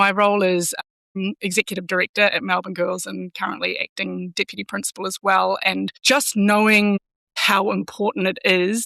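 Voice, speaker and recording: With a slight New Zealand accent, a woman talks at a moderate pace. The sound is dry and close, without echo. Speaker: school executive. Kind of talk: podcast interview.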